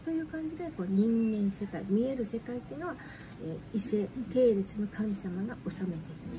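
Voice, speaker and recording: A woman speaks at medium pitch with very wide pitch swings and a moderate pace over noticeable background noise. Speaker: shrine guide. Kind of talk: casual explanatory talk. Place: cafe. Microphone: phone near.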